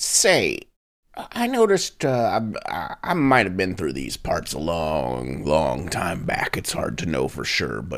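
A man speaks in a put-on character voice. It is very deep and low in pitch, and his pace is fairly slow. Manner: dry, laconic, sardonic.

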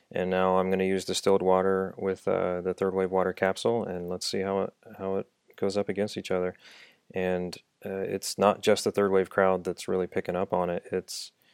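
A man speaks with a Midwestern American accent and a very deep, low pitch, his intonation monotone and flat. The recording is very clean, with a silent background. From Dayton, Ohio. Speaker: engineer turned coffee entrepreneur. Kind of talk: casual interview.

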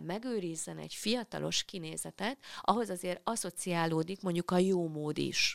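A woman talks at a moderate pace. The recording is very clean and silent behind her, with a dry, close sound and no echo. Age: 50s. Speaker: clinical psychologist. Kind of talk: casual chat. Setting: studio.

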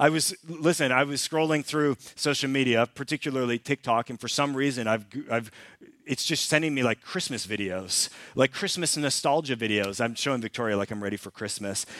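Here is a man with an unremarkable speaking voice and a Canadian accent, pitched fairly high with ordinary variation. He talks at a fairly quick pace, and the sound is dry and close with no echo. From Canada. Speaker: pastor. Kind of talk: sermon. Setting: church. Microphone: new clip-on microphone.

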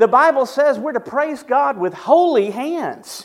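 Lively in his intonation, a man speaks with a Southern US accent at an extremely high pitch. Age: 50s. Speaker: pastor. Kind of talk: sermon.

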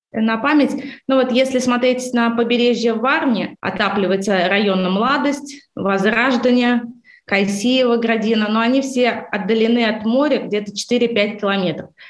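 A woman speaks at a fairly slow pace in a fairly high pitch. The room echo is audible. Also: ordinary pitch variation, very even loudness. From Baltic states. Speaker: real estate company head. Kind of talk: interview.

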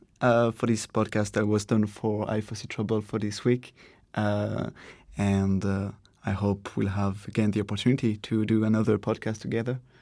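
Fairly low-pitched speech from a man at a moderate pace, very cleanly recorded against a silent background. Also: ordinary pitch variation. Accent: French. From France. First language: French. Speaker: podcast interviewer. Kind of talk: casual interview. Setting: European Parliament in Strasbourg.

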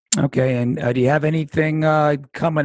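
Here is a man with a normal speaking voice and ordinary pitch variation. He keeps a moderate pace against a quiet background. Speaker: podcast host and attorney. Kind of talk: interview, casual chat.

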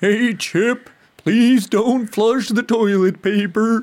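A man uses a put-on character voice, high in pitch. He speaks at a very slow pace.

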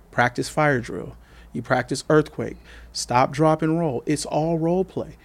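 A speaker with an American accent talks at a fairly slow pace with ordinary pitch variation and a normal speaking voice. The recording is very clean, with a silent background. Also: man, fairly high pitch for a man. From Coachella Valley, California. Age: 40s. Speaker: community worker and father. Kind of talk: podcast interview.

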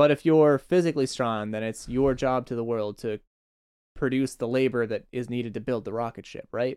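With a plain, everyday voice at medium pitch, a man speaks at a fairly quick pace with fairly even intonation, in a dry, close sound with no echo. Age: 20s. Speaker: podcast host. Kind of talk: casual chat.

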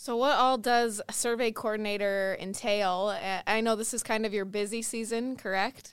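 A woman's plain, everyday voice with an American accent, fairly high in pitch, at a moderate pace with fairly even intonation and hardly any pauses, on a very clean recording with a silent background. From Minnesota. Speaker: podcast host. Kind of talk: casual interview.

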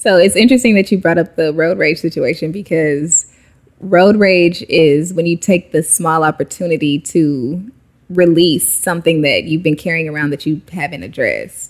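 A normal speaking voice, medium in speed, its pitch shifting in an ordinary way. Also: woman, fairly low pitch for a woman. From Texas, Dallas-Fort Worth. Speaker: yoga teacher and entrepreneur. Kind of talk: casual interview. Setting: at guest's home, dog present.

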